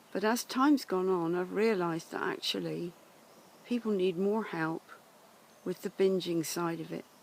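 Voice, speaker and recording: Speaking with an English accent, a woman uses a medium pitch, ordinary pitch variation and a moderate pace. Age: 70s. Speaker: life coach. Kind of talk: personal introduction monologue. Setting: outdoors in woods.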